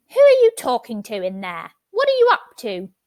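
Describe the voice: A woman uses a put-on character voice. It sounds shrill. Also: moderate pace, big swings in loudness.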